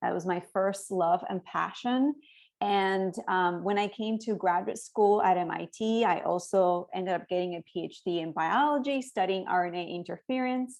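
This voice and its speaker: A woman with a Spanish accent speaks at a medium pitch. She leaves hardly any pauses. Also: ordinary pitch variation, moderate pace, quiet background. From Cuba, then Spain and Miami. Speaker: education researcher. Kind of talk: talk.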